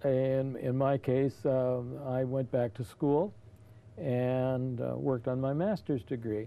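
At a very slow pace, a man speaks with fairly even intonation. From California. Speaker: senior center advocate and army veteran; interview guest. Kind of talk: interview. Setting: studio. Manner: halting. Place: studio. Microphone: lapel.

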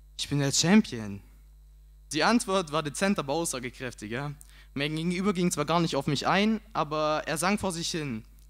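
A man speaks at a moderate pace in a fairly high, animated voice. The background is quiet. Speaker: slam poet. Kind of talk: poetry slam performance, comic storytelling. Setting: stage with audience. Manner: animated, punchy comic delivery; casual, colloquial, cheeky. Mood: humorous storytelling, acts out self-talk. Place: stage. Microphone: handheld.

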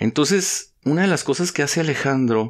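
A man with a normal speaking voice talks at a moderate pace and medium pitch, using lively intonation. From northern Mexico, Ciudad Juárez. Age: 40s. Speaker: poet and podcast host. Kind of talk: casual chat over drinks. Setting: home recording with headphones.

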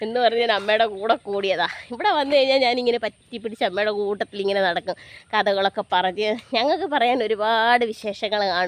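A woman has a normal speaking voice with a fairly high pitch and ordinary pitch variation. The sound is dry and close with no echo. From Kerala, Pathanamthitta area. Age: 30s. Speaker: vlogger. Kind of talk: casual vlog narration. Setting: outdoors.

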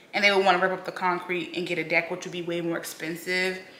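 Over light background noise and audible room echo, a woman talks at a very fast pace. Her pitch is fairly low and her intonation monotone and flat. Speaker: home vlogger. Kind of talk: casual vlog chat. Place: home room. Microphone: camera far.

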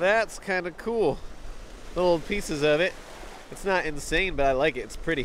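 A man talks at a high pitch, leaving long, frequent pauses. There is light background noise, and the sound is dry with no echo. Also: ordinary pitch variation, moderate pace. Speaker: outdoor rock-hunting video host. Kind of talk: casual vlog narration. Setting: outdoors on a beach. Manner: animated. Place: beach. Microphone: phone near.

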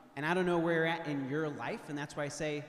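Someone with an American accent speaks with fairly even intonation amid audible room echo. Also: man. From St. Louis, Missouri; Missouri. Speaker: retreat team speaker; speaker. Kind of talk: retreat talk to teens. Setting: church with audience. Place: church. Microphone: handheld.

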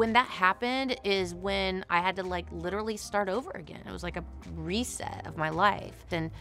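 A woman talks at a medium tempo while music plays faintly behind her. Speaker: interviewee. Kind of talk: interview answer. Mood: emotional, then upbeat. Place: studio.

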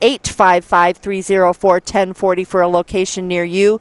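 The woman's voice is recorded dry, with no echo. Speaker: local TV event announcer. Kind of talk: sponsor announcements. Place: open country. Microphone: headset.

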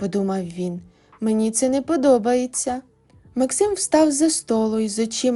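An unforced reading voice with lively intonation carries the words.

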